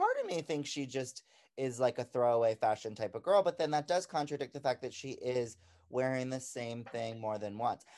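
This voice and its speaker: A man with an ordinary speaking voice, medium pitch, moderate pace and ordinary pitch variation. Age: 20s. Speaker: podcast co-host. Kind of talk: casual chat.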